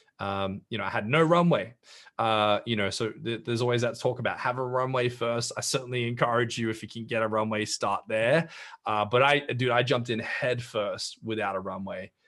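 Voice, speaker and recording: A man with an Australian accent talks at a fairly quick pace in a medium pitch, with fairly even intonation against a quiet background. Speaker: brand strategist and entrepreneur. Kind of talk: interview. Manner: halting, many fillers and repeated words.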